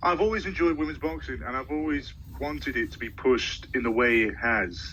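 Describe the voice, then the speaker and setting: The delivery is at a fairly quick pace, with audible room echo. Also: man. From Britain. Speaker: sports social media creator. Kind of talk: casual chat.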